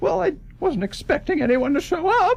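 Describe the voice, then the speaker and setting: A man does a squeaky, put-on character voice at an extremely high pitch, with very wide pitch swings. The pace is moderate, over light background noise. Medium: actual play. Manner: hesitant, stammering.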